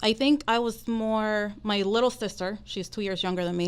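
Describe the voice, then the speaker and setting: A woman with a Dominican accent speaks at a moderate pace and a medium pitch. The recording is very clean and the background silent. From Dominican Republic. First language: Spanish. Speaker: mortgage professional. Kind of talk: podcast interview.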